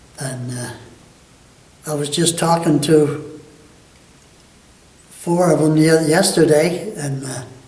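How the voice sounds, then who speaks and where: A man with an American accent speaks in a fairly high pitch. Noticeable background noise and audible room echo are present. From Michigan. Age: 90s. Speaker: war veteran. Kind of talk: oral history interview. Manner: halting.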